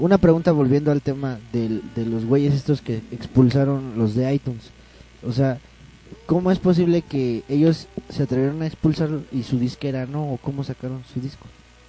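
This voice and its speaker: A man with a Mexican accent and a fairly high voice, over noticeable background noise. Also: ordinary pitch variation, moderate pace. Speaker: podcast co-host. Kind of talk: casual chat; reading news items aloud. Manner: animated.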